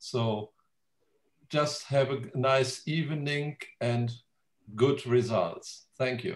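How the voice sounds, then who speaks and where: Somewhat breathy and with a German accent, a man at medium pitch speaks very slowly with long, frequent pauses. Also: ordinary pitch variation. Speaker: genealogy society president. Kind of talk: welcome speech. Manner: halting.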